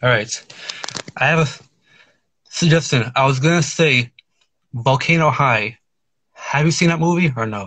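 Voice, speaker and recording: Speaking at a moderate pace with long, frequent pauses, a man uses a bright, sharp tone and ordinary pitch variation. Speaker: caller. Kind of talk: phone-in chat. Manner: halting.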